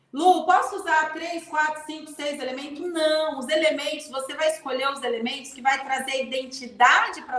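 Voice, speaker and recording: Lively intonation from a woman's high voice at a moderate pace. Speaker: leadership mentor. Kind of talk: live stream talk.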